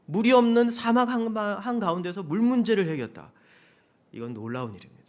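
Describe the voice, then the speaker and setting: Pitched high with very wide swings, a man talks at a moderate pace. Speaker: pastor. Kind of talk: sermon.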